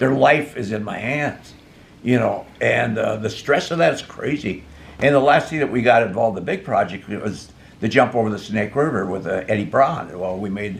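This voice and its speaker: A man's medium-pitched voice with lively intonation, a moderate pace and noticeable background noise. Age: 80s+. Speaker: rocket builder and stuntman. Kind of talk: casual interview. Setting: at his home.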